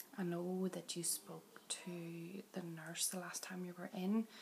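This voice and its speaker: Over noticeable background noise, a woman talks in a gentle tone at a medium pitch. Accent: Northern Irish. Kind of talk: ASMR doctor roleplay. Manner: soft-spoken, gentle, reassuring.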